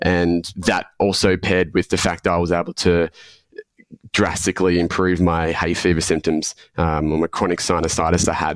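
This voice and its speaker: A man with an Australian accent speaks at a moderate pace in a very deep, low pitch with monotone, flat intonation. His loudness stays very even, and the sound is dry and close with no echo. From Australia, Melbourne. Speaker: health coach. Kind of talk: podcast interview. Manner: halting, many fillers.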